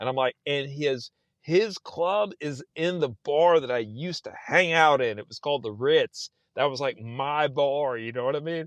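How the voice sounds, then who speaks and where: A man with a fairly high voice and a Texan accent sounds animated at a moderate pace, with ordinary pitch variation and dry, close sound with no echo. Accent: Texan American English. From South Texas. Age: 40s. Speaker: novelist. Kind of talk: casual interview chat. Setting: podcast.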